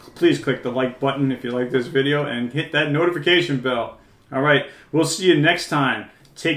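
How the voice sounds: The speaker uses a natural reading voice, and the pitch moves in an ordinary way.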